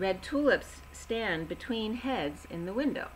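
A woman talks, with light noise behind her. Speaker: tarot or intuitive reader. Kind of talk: intuitive reading monologue. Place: home room. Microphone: webcam.

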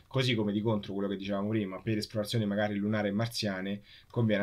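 Very fast male speech, fairly low in pitch, on a very clean recording with a silent background. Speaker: space engineer co-host. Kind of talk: live interview. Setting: live stream.

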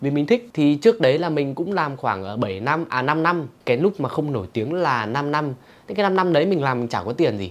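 A man talks at a fairly quick pace with hardly any pauses. His fairly high pitch makes very wide swings. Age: 20s. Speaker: YouTuber and comedy creator, drama student; YouTuber answering viewer questions. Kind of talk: casual Q&A video. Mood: playful, joking. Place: home room. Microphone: lapel.

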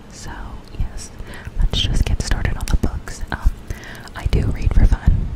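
A woman whispering at a fairly slow pace. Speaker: ASMR creator. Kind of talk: casual talk to camera. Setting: close microphone ASMR recording. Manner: whispered, soft-spoken, rambling. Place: home room. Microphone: studio mic.

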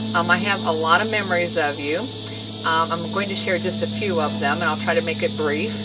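A woman at a moderate pace, with music in the background. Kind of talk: personal video message, storytelling. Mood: warm, amused, fond. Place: garden. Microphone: camera far.

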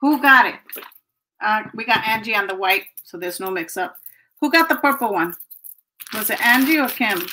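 A woman talks at a moderate pace with a fairly high pitch, lively intonation and a bright, sharp tone. Her loudness swings widely, she takes long, frequent pauses, and there is light background noise. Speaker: online seller hosting live sales. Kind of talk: live sale stream. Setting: livestream. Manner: casual, chatty. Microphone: webcam.

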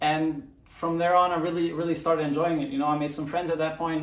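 In a room with audible echo, a man talks at a fairly quick pace with monotone, flat intonation. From Germany, Mönchengladbach; Germany. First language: German. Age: 20s. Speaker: professional soccer player; guest. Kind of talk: personal story monologue. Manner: halting, many fillers. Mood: relaxed, reflective. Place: home room.

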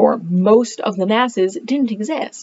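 A woman speaks at a fairly high pitch with ordinary pitch variation. Her voice is somewhat breathy over light background noise. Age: 30s. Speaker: homeschooling parent and book reviewer; book reviewer. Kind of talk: casual monologue to camera. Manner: animated. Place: home room. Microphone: webcam.

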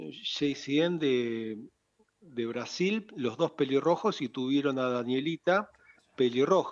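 Intonation is lively while the pace stays very slow. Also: man, quiet background. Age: 60s. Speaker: club founder and shopkeeper. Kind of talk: radio interview. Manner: halting. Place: studio. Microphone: studio mic.

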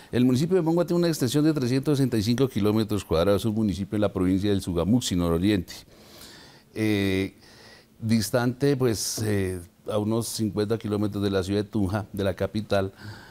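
The man's voice is fairly low and dark and mellow, with ordinary pitch variation. He keeps a moderate pace and very even loudness. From Boyacá, Colombia. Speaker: town mayor. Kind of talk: interview. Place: studio. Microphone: lapel.

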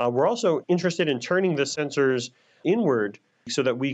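A normal speaking voice from a man, fairly high in pitch, with lively intonation, a fairly quick pace and a quiet background. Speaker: scientist. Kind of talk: interview.

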